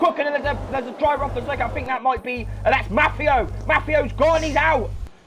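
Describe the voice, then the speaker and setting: Animated, very fast male speech amid noticeable background noise. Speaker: sim racing commentator. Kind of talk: live commentary.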